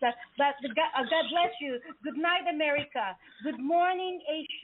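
Her pitch high, a woman speaks at a moderate pace. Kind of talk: live talk show. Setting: studio. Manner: animated; halting.

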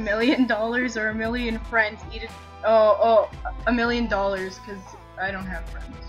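A woman with a Canadian accent swings widely in loudness as faint music plays in the background. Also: moderate pace. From Canada. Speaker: vlogger. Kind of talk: casual talk to camera. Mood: playful, joking. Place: home room. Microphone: webcam.

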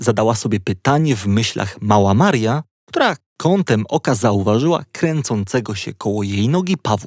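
A man's plain, everyday voice at medium pitch and a moderate pace, with lively intonation, a dry, close sound with no echo, and a very clean recording with a silent background. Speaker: audiobook narrator. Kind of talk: bedtime story reading, children's audiobook narration. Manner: calm, gently paced, storyteller tone.

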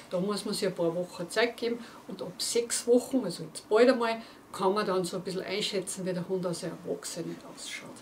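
A woman talks at a fairly quick pace with ordinary pitch variation. Her loudness swings widely over light background noise. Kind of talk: casual presentation to viewers. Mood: warm, cheerful. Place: studio.

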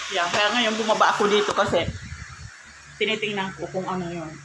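Pausing long and often, a woman speaks at a medium pitch with fairly even intonation, against noticeable background noise and audible room echo. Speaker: vlogger. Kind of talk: casual vlog monologue.

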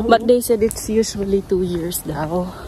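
Noticeable background noise runs under a woman's dry, echo-free voice. She speaks at a fairly slow pace. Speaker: vlogger. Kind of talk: casual vlog chat. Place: street. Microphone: phone near.

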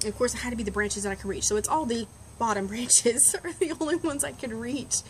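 Over light background noise, a woman talks with lively intonation. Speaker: vlogger. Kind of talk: casual vlog chat. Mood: chatty, amused. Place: garden. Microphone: webcam.

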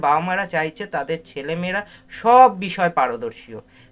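A man is speaking. His voice is high-pitched. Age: 40s. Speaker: book reviewer and art teacher. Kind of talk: book review monologue. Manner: halting.

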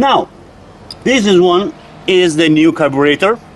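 A man with a fairly high pitch, lively intonation and a moderate pace.

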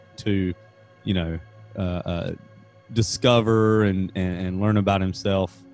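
Over faint music in the background, a man talks at a fairly slow pace with monotone, flat intonation, the sound dry with no echo. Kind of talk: casual podcast conversation. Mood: relaxed, amused. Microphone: studio mic.

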